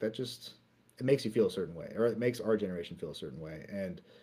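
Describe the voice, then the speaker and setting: The speaker is a man. His tone is dark and mellow. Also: very clean recording, silent background. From Canada, Vancouver. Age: 30s. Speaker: AI video artist. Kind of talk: interview. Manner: hesitant, with filler words.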